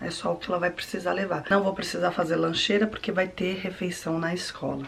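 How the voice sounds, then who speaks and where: A woman speaks at a moderate pace with a fairly low pitch. Noticeable background noise can be heard. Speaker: vlogger, mother. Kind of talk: family vlog.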